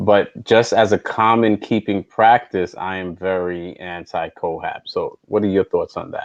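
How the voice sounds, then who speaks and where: With a New York accent, a man talks at a fairly slow pace in a fairly low voice, his intonation fairly even and his pauses few, the sound dry and close with no echo. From New York, South Bronx. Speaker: podcast host. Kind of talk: casual chat. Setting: live stream.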